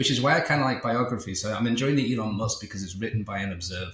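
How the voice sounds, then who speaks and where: Through noticeable background noise and audible room echo, a man of medium pitch talks at a very fast pace with ordinary pitch variation. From England, Liverpool. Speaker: entrepreneur and author. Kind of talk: podcast interview. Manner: halting, many repetitions.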